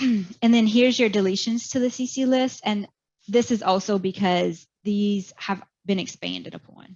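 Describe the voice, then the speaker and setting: At a moderate pace, a woman speaks in a medium, somewhat breathy voice with fairly even intonation. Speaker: medical coding educator. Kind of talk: webinar presentation.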